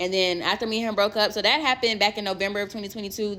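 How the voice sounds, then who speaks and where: Loud and animated, a woman speaks at medium pitch in a bright, sharp tone on a very clean recording with a silent background. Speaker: storyteller. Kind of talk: storytime.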